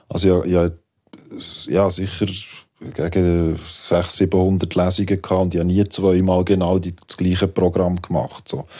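A very deep, low male voice with a Swiss accent, monotone and flat, at a fairly slow pace with long, frequent pauses, on a very clean recording with a silent background. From Switzerland. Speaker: poet and rapper. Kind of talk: radio panel discussion.

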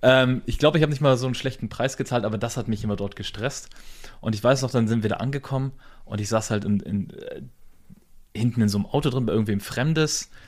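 The tone is animated and the pace very fast. Pitch variation is ordinary. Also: man, medium pitch for a man. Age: 30s. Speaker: podcast host, business owner. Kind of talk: casual chat.

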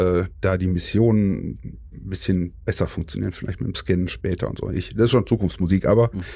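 Very deep and low, this man's voice has a dark, mellow tone. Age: 40s. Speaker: gamer, outlaw player group member. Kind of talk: casual chat.

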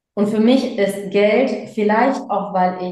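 Audible room echo surrounds a woman speaking very slowly. Her pitch is medium, with ordinary variation. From Germany, of Sri Lankan Tamil parents. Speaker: speaker and business coach. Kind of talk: casual interview.

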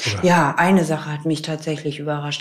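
This woman has a very deep, low pitch. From northern Germany, near Celle. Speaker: widow telling her grief story. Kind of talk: personal testimony interview. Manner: halting, many fillers.

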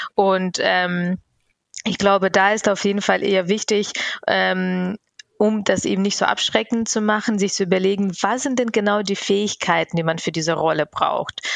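In a plain, everyday voice, a woman speaks at medium pitch and a moderate pace, with fairly even intonation and very even loudness. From Bavaria, Germany (immigrated at 11). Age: 30s. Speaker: network founder, diversity advocate. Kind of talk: interview.

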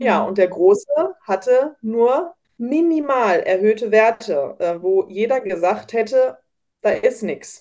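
Very slow delivery in a dark, mellow tone with very wide pitch swings. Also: woman, fairly high pitch for a woman. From Germany, North Rhine-Westphalia. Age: 30s. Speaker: home baker, mother of children with coeliac disease. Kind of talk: casual interview. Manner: many filler sounds (ähm).

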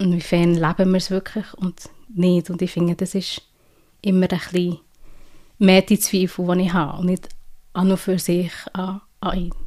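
A woman speaks at a moderate pace in a monotone with flat intonation, her medium-pitched voice dark and mellow, broken by long, frequent pauses. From Switzerland. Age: 30s. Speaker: change-process coach. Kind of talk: interview testimony.

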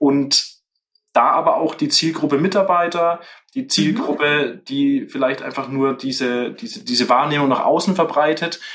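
His voice fairly high in pitch, a man speaks at a moderate pace with ordinary pitch variation. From Franconia, Germany (Fürth). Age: 30s. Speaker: hearing aid business owner. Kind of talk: interview. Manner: halting, many fillers.

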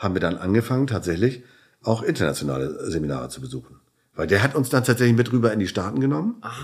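Talking at a very fast pace, a man at a medium pitch makes very wide pitch swings, with vocal fry. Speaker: chiropractor and entrepreneur. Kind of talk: interview. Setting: hotel room.

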